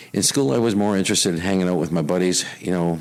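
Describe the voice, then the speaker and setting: A man speaks with ordinary variation in his pitch. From Canada, Winnipeg. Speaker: retired police officer and risk consultant. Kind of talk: interview. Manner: many fillers and repetitions.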